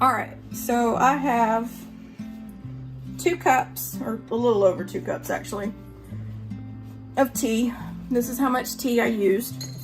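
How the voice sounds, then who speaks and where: With music in the background, a woman in a Southern US accent speaks at a fairly slow pace, leaving long, frequent pauses. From North Georgia, Appalachian Mountains. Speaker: home cook. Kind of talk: casual cooking tutorial talk to camera. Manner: chatty, upbeat.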